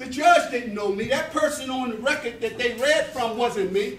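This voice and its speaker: A man's voice shows ordinary pitch variation, with audible room echo and noticeable background noise in the recording. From US Northeast, North Philadelphia. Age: 60s. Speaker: prison reform minister. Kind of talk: motivational talk to youth. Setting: church hall with youth audience. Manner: earnest, emphatic.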